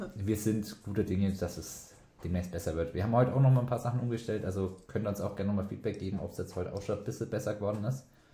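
A man's fairly low, somewhat breathy voice with a dark, mellow tone, fairly even intonation and a very fast pace. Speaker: podcast host. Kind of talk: casual chat.

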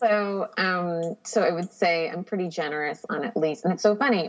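This woman has an ordinary speaking voice with fairly low pitch. Her intonation is lively. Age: 30s. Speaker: podcast guest, writer. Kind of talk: casual interview chat.

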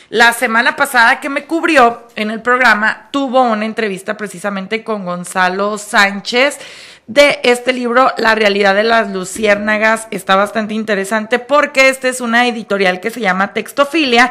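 Bright and sharp in tone, a woman speaks at a fairly high pitch with ordinary pitch variation. Her moderate pace leaves hardly any pauses. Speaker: radio host. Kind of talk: casual chat.

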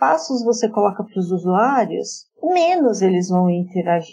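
A woman speaks at a fairly slow pace in a dark, mellow tone. Her pitch swings very widely. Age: 40s. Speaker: journalist and marketing project manager. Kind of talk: interview.

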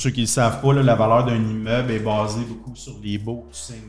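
A man talks at a fairly quick pace in a flat monotone, with noticeable background noise and audible room echo. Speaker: entrepreneur. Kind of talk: interview.

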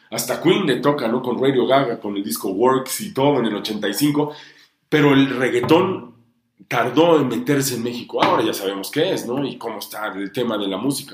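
A man speaks at medium pitch with lively intonation. Audible room echo surrounds his voice. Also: moderate pace. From Honduras and Mexico. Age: 40s. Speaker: music TV presenter. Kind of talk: interview.

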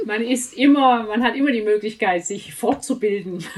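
Noticeable background noise behind fairly slow talk with ordinary pitch variation. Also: woman. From outside Swabia, not native to the region. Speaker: author, editor and reading coach. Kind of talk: casual interview. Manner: many fillers and hesitations.

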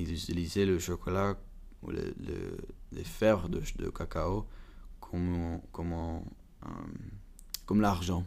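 A man with a very deep, low voice talks in a flat monotone at a very slow pace, leaving long, frequent pauses, and the room echo is audible. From Belgium (Flanders, Bruges) and Prague, Czech Republic. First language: English, Flemish, Czech (speaking French). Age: 20s. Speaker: university student, chocolate family business. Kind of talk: interview. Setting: chocolate museum. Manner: halting, hesitant.

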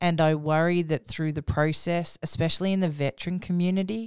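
The speaker keeps a fairly even intonation on a very clean recording with a silent background. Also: woman. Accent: Australian. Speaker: podcast co-host, author. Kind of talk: casual chat.

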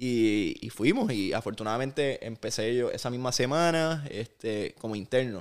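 A man's plain, everyday voice at medium pitch, moderate in pace, with hardly any pauses. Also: ordinary pitch variation. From Puerto Rico (Aguadilla, west; later Vega Baja). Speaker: basketball broadcaster and sports executive. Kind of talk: interview. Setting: at his home.

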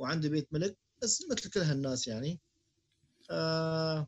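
The somewhat breathy voice shows ordinary pitch variation and is recorded dry and close with no echo. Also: man. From Syria. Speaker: podcast co-host. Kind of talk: casual chat.

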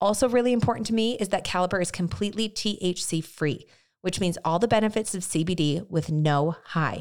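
A woman with a plain, everyday voice speaks at a fairly quick pace in a medium pitch with ordinary pitch variation. The recording is very clean, with a silent background. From US, moved around. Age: 30s. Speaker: podcast host. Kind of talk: casual interview chat. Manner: warm, expressive.

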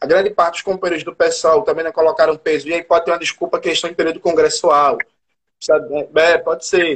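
Very fast speech from a man, high in pitch, with monotone, flat intonation. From Brazil, Recife. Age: 30s. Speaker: historian and political activist. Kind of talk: live stream conversation.

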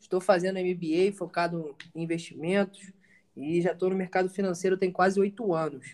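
High-pitched and monotone, a man speaks with flat intonation. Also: moderate pace. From Rio de Janeiro. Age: 20s. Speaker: podcast panelist, finance professional. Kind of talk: casual group discussion.

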